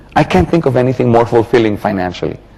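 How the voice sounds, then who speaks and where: With noticeable background noise behind him, a man talks at a fairly quick pace, his pitch swinging very widely. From Philippines. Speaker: network marketing trainer. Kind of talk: training seminar. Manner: animated.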